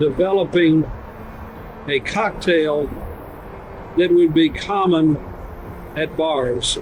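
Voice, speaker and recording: Noticeable background noise accompanies a man who speaks very slowly. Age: 70s. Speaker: retired senior living professional. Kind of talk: video testimonial.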